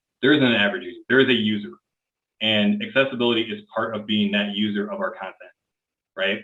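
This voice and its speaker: A man with an American accent at a fairly quick pace, with ordinary pitch variation. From US Midwest, Illinois. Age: 30s. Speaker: accessibility engineer. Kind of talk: conference Q&A. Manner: casual, many filler words. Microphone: connection broke up.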